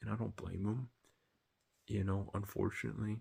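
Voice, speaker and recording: A man whispers quietly, with vocal fry in his voice. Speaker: anime reaction youtuber. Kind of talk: casual review monologue. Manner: whispering, quiet; hesitant, filler-heavy.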